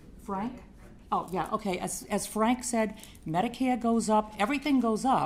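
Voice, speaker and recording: Speaking at a fairly slow pace, a woman with a fairly high pitch sounds somewhat breathy, her intonation lively. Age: 60s. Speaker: resident speaking at public hearing. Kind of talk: public comment at city council meeting.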